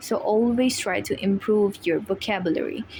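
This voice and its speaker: Fairly even intonation marks the speech of a woman with a non-native accent. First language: not English. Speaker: IELTS tutor, video creator. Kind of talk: tutorial. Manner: hesitant with fillers.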